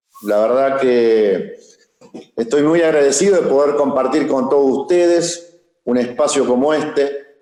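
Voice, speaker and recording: Speaking at a fairly high pitch in a dark, mellow tone, a man keeps his loudness very even. His pace is fairly slow, and audible room echo fills the sound. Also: ordinary pitch variation. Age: 60s. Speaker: civil engineer, former public works minister. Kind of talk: panel talk.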